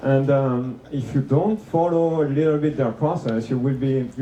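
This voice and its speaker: A man with a French accent at a medium pitch, ordinary pitch variation and a fairly slow pace, with audible room echo and noticeable background noise. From France. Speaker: conference speaker. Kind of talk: conference talk. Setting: room with live audience. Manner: hesitant, many fillers.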